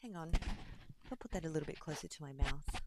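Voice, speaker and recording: Soft-spoken and fairly quick, a woman talks at a fairly low pitch with very wide pitch swings. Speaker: crafting streamer. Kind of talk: casual live stream chat. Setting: live stream. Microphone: too quiet.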